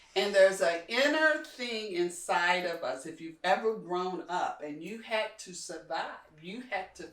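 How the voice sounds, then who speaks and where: A woman with an American accent uses an ordinary speaking voice with big swings in loudness. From Kentucky, US South. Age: 60s. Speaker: community leader. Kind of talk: interview conversation.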